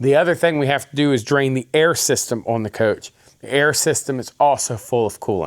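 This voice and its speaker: The man talks fairly quickly, and his pitch varies in an ordinary way. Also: fairly high pitch for a man. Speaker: diesel mechanic. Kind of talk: tutorial.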